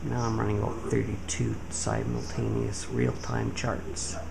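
Loud background noise surrounds speech delivered at a fairly slow pace. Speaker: home-office trader, PC builder. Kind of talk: casual talk to camera, tech demo. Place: office.

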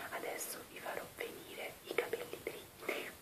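This woman is whispering. Her words come fairly slowly. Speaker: beauty vlogger. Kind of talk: ASMR-style whispered makeup removal video. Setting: home recording with basic equipment. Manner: whispered, soft-spoken. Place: bathroom. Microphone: webcam.

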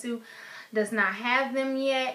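Speaking with an American accent, a woman has a plain, everyday voice. Her pace is fairly slow and her intonation fairly even. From Chicago. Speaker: beauty vlogger. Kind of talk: casual product review vlog; casual vlog chat. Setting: home recording on iPad. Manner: casual, frequent fillers. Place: home room. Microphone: webcam.

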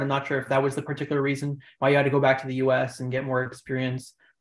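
Someone speaks at a very fast pace with audible room echo. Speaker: session host asking questions. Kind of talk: session hosting. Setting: video call. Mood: friendly, appreciative. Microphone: video call.

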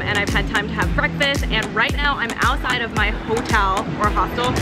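A woman talks at a fairly quick pace. Loud music plays in the background. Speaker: travel vlogger. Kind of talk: casual vlog chat. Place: street. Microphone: phone near.

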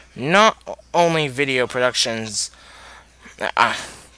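A man speaks quietly. The sound is dry, with no echo. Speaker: youtuber. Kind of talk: casual talk to camera. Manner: quiet, subdued.

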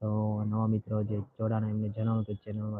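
A man speaks at a medium pitch. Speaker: temple live-stream vlogger. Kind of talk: live stream walkthrough.

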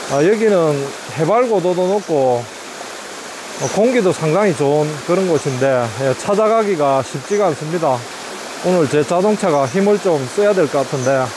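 A man talks at a moderate pace. The sound is dry with no echo, though there is noticeable background noise. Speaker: rural property vlogger. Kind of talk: casual vlog commentary. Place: open country. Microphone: phone near.

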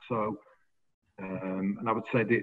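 The voice keeps a fairly even intonation at a moderate pace. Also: man. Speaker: recovery community coordinator. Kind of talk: casual interview. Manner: jokey, laughs often. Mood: modest, friendly. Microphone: video call.

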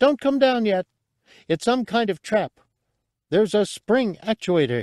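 Putting on a character voice, a man speaks at a moderate pace in a high pitch that is shrill and squeaky. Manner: eager, scrappy, excitable.

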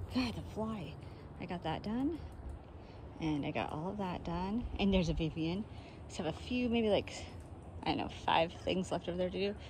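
The speaker talks at a moderate pace with long, frequent pauses. Noticeable background noise runs under the voice. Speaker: real estate agent vlogger. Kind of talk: casual vlog chat. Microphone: phone near.

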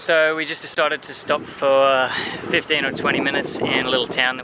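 The man talks at a fairly quick pace with a dry sound and no echo. Loud background noise is present. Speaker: travel vlogger. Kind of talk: casual vlog chat. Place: street. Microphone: phone near.

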